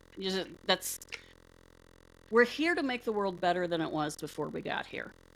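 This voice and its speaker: A woman talks in an unremarkable speaking voice at medium pitch. Her pace is moderate and her intonation lively. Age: 50s. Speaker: podcast host, paranormal researcher. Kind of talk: casual chat.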